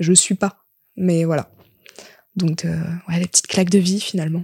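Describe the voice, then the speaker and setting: A woman speaks with a dark, mellow tone. The recording is very clean with a silent background and has a dry, close sound with no echo. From southern France, Lozère. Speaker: singer-songwriter and actress. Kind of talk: casual chat.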